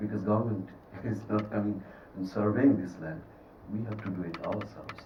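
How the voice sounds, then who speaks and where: Heard with noticeable background noise and audible room echo, the speech proceeds at a moderate pace. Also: man. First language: Bengali. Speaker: film director. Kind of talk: festival Q&A. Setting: cinema with audience.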